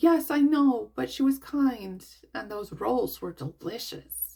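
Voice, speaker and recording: A woman puts on a character voice, high in pitch and delivered at a fairly slow pace. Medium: read story.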